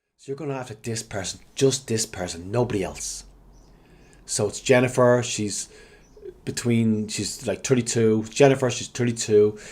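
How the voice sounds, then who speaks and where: A man with an Irish accent, medium pitch and moderate pace. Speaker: digital marketing consultant. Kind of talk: tutorial. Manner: halting.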